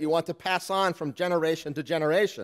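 Over a quiet background, a man with a high pitch speaks at a fairly quick pace. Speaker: pastor. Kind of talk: sermon. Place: church. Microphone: podium.

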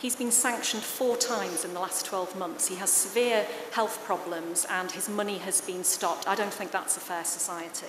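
Against noticeable background noise, a woman at medium pitch talks with hardly any pauses. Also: ordinary pitch variation, moderate pace. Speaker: parliamentary candidate; candidate. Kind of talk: political debate. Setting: stage with live audience, broadcast on radio. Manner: loud. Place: stage. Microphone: podium.

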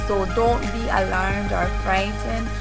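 A woman talks here. Music plays clearly behind her. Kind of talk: casual vlog chat. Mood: warm, reassuring. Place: home room. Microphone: phone near.

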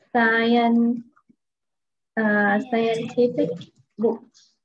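Light background noise sits behind a woman who speaks very slowly at a high pitch. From Vietnam. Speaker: English teacher. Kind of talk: online English lesson. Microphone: webcam.

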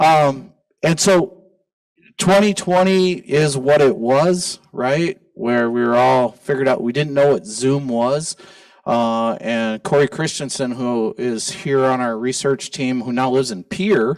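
A man's very slow speech against a quiet background. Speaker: museum host. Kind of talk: event introduction speech. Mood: warm, conversational. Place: hall.

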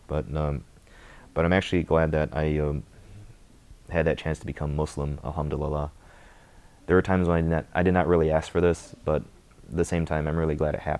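A man with a Midwestern accent, very deep and low in pitch, monotone and flat, very fast pace broken by long, frequent pauses. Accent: general American, Midwestern. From US Midwest (Michigan). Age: 20s. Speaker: convert to Islam. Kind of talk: testimony. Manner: hesitant, many filler words. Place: home room. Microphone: lapel.

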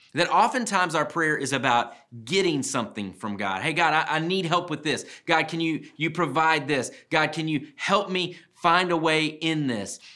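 With a bright, sharp tone and vocal fry, a man talks at a moderate pace with lively intonation and hardly any pauses. The background is quiet. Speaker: speaker. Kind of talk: devotional talk to camera. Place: studio.

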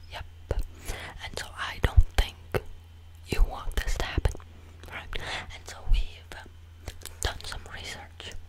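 A man whispers fairly slowly, breaking often into long pauses. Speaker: video creator. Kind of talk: playful comedic monologue to camera, ASMR-like. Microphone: studio mic.

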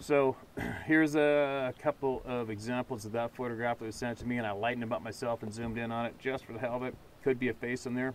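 Talking at a very fast pace in a flat monotone, a man is heard in a dry sound with no echo and light background noise. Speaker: outdoor video host. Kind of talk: casual commentary on a photo. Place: open country. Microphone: camera far.

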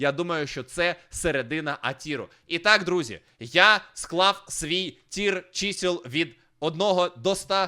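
A man's bright, sharp, high-pitched voice at a very slow pace, with ordinary pitch variation, in a very clean recording with a silent background. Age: 30s. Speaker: streamer. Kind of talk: casual chat.

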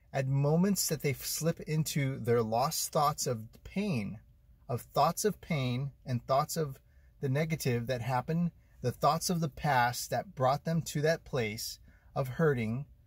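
A man's somewhat breathy voice at a fairly slow pace, in a dry sound with no echo. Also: ordinary pitch variation, quiet background. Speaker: vlogger living in his car. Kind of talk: casual vlog chat. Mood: reflective, earnest. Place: car. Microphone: phone near.

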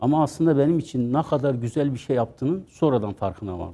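This man's voice has a dark, mellow tone and a fairly high pitch. He speaks at a fairly quick pace. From Adana, southern Turkey; southern Turkey. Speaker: pastry business founder; interview guest. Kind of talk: interview. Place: studio. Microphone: lapel.

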